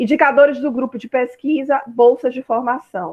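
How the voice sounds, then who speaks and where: A woman's voice with fairly even intonation. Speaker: university lecturer. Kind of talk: online lecture. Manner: fast.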